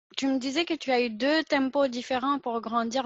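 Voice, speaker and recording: A woman keeps her intonation fairly even as she talks at a fairly slow pace. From Pakistan. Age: 20s. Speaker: podcast host. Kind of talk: casual interview conversation.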